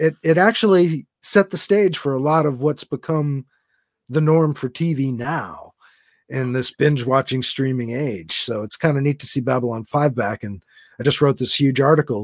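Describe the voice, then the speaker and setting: A man with an ordinary speaking voice, medium in pitch, uses lively intonation. The recording is very clean with a silent background and a dry, close sound with no echo. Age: 50s. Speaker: sci-fi and comic book author. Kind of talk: casual chat.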